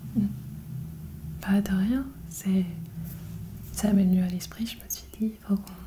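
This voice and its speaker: Soft-spoken and fairly slow, a woman leaves long, frequent pauses while her loudness swings widely, with noticeable background noise behind her. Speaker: novelist and ASMR creator. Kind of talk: ASMR roleplay.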